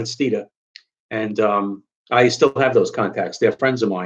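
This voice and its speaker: With a New York accent, a man speaks at a moderate pace. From New York, Long Island. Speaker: car enthusiast YouTuber. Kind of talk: live stream Q&A. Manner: halting, many fillers.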